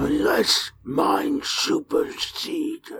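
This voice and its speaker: A put-on character voice growls at a high pitch. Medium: actual play. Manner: clipped, terse, few words.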